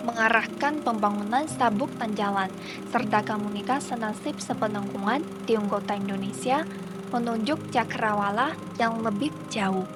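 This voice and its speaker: Amid noticeable background noise and audible room echo, a woman speaks at medium pitch and a moderate pace with ordinary pitch variation. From China. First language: Chinese (speaking Indonesian). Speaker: student documentary narrator. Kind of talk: scripted narration. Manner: formal.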